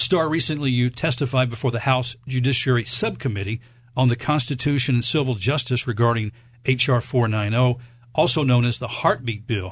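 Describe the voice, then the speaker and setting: Somewhat breathy, a man talks at a fairly quick pace and medium pitch with ordinary pitch variation. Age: 50s. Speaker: radio host. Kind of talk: radio interview.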